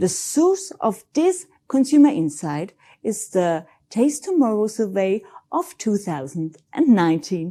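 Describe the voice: A woman talks at a fairly slow pace and medium pitch. Her tone is dark and mellow, with big pitch swings.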